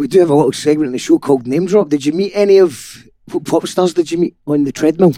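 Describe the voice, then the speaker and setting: Recorded dry and close with no echo, a man speaks very fast with a Scottish accent, a dark, mellow tone, a fairly high pitch and ordinary pitch variation. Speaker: podcast host. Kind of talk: casual interview chat. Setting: in person, studio.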